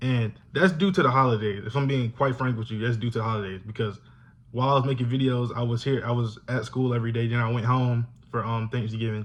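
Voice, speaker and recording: A man in an American accent talks at a very fast pace with fairly even intonation. His voice is somewhat breathy and medium in pitch. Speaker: YouTuber, college student. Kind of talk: casual vlog talk to camera.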